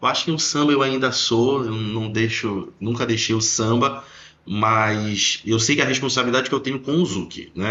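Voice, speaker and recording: An ordinary speaking voice from a man, medium pitch, moderate pace and fairly even intonation. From Belém do Pará, northern Brazil. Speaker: dance teacher. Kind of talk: casual podcast conversation.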